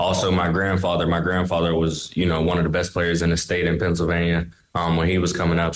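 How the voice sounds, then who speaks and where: A man with an American accent at a very fast pace, very deep and low in pitch, monotone and flat, with audible room echo. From US, Pittsburgh. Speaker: basketball player. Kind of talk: interview.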